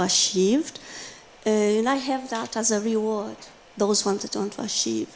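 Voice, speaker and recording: A woman with a non-native accent speaks at a fairly high pitch and a moderate pace, with fairly even intonation. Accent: foreign. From Brazil. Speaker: teacher. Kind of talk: audience comment at conference. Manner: halting.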